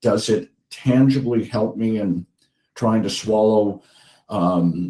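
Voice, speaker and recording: The tone is dark and mellow, the pace very slow, and the pitch variation ordinary. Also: man. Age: 60s. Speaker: patient partner, dysphagia patient. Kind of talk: testimony. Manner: halting.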